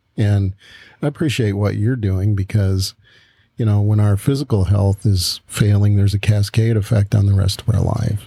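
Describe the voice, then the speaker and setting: In a dry, close sound with no echo, a man speaks at a moderate pace with a fairly low pitch, a dark, mellow tone, some breathiness, very even loudness and fairly even intonation. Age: 60s. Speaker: pastor and podcast co-host. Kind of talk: casual chat.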